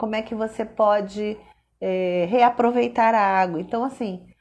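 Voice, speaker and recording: This woman speaks at a moderate pace with lively intonation, over a quiet background. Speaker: content creator. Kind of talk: live stream talk. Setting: Instagram live.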